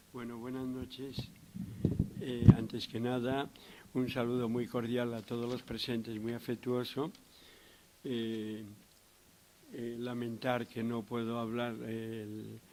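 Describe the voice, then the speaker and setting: A man's medium-pitched voice, monotone and flat, at a very slow pace with long, frequent pauses. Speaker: psychiatrist lecturer. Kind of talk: lecture. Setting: lecture hall with audience.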